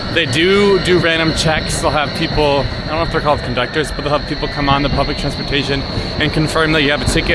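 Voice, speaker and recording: Fairly quick speech from a man at a fairly high pitch, amid noticeable background noise and audible room echo. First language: not German speaker. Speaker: travel vlogger. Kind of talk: travel vlog narration. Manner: casual, filler-heavy.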